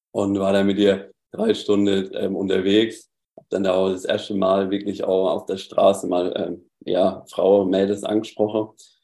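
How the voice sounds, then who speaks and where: A man with a southern German accent speaks with hardly any pauses in a fairly low pitch. His tone is dark and mellow, his intonation monotone and flat. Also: fairly slow pace. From southern Germany. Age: 20s. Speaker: former coaching client. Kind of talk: casual interview chat.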